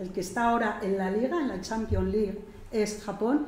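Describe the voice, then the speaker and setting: There is noticeable background noise and audible room echo as a medium-pitched woman speaks. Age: 60s. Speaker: gerontologist. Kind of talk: lecture. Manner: assertive, firm.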